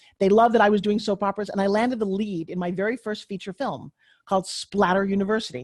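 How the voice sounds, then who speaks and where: Very fast and animated, the speech has a dry, close sound with no echo. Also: woman. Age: 60s. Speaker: tv pitchwoman and former actress. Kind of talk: interview. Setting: podcast.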